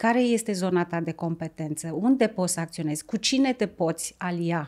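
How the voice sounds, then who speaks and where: A woman speaking at a moderate pace against a quiet background. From Romania, Tulcea county; Romania. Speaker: environmental NGO director; podcast guest. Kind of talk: interview. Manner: halting. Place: studio. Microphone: studio mic.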